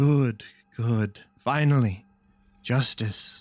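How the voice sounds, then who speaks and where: A man uses a raspy put-on character voice at a medium pitch with ordinary pitch variation. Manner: grim, vengeful, satisfied.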